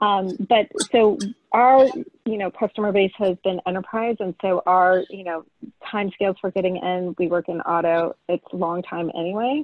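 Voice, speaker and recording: Against a quiet background, a woman talks at a moderate pace with ordinary pitch variation in a dry sound with no echo. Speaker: startup founder. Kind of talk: Q&A; casual question in online Q&A. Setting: video call. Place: home room. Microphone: video call.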